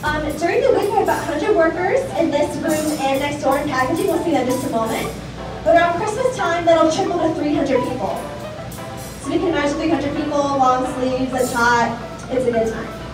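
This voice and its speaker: A woman speaks at a high pitch. Clear music plays in the background, and room echo is audible. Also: fairly quick pace. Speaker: factory tour guide. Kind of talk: guided tour commentary. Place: factory. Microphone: camera far.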